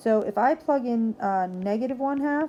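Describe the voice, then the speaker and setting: A woman speaks with ordinary pitch variation. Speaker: math teacher. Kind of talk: recorded lesson video. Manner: fast; casual, conversational.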